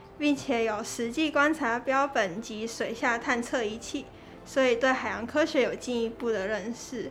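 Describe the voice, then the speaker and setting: Over music in the background, a woman speaks at a fairly slow pace with a high pitch and ordinary pitch variation. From Taiwan, Kaohsiung. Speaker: university student. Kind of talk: interview.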